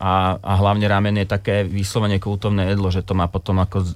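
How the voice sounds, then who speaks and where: Talking fairly quickly, the male speaker has a very deep, low pitch. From Slovakia. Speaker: ramen restaurant owner. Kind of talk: interview.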